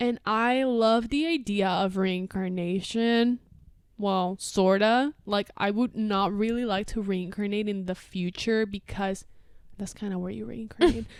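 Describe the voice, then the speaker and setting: A woman talks at a fairly slow pace in a medium pitch, with ordinary pitch variation. The recording is very clean, with a silent background. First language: Spanish. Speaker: podcast co-host. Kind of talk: casual chat.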